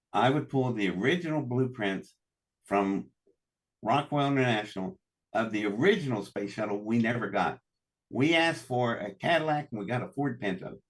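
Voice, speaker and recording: Lively intonation marks a man with an American accent and a medium pitch. He speaks at a moderate pace. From US South. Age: 60s. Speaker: engineer and inventor. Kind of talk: casual chat. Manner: animated.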